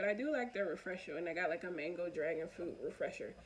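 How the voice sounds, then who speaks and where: Here a woman speaks with an American accent at a very fast pace. Her pitch varies in an ordinary way. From US Northeast, Philadelphia. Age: 20s. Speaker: vlogger. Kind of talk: casual monologue vlog. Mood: open, reflective. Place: home room. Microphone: phone near.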